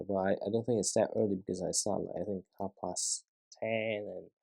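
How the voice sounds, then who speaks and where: A man mumbles in a dry, close sound with no echo. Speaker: LEGO vlogger. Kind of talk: casual building vlog commentary. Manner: mumbling; halting, many fillers.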